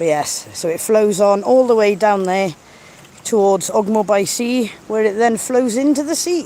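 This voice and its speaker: A woman with a South Wales accent and medium pitch speaks at a fairly slow pace with long, frequent pauses over noticeable background noise. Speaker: nature video creator. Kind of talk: live-stream chat with viewers. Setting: outdoors by a river. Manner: casual, chatty.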